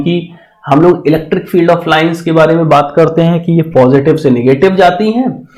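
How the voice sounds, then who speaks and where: This man has a dark, mellow tone with ordinary pitch variation. Audible room echo surrounds his voice. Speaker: physics teacher. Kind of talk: lecture. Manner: slow.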